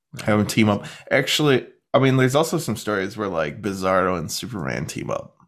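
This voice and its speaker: A man with a fairly low pitch and vocal fry talks at a fairly quick pace, his pitch swinging very widely. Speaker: podcast host. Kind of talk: casual banter about a TV show. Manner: joking, playful.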